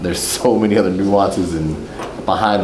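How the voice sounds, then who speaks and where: Against noticeable background noise and audible room echo, a man with a fairly low pitch talks at a moderate pace. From Texas, San Antonio. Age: 40s. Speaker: former pro basketball player. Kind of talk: casual group introduction.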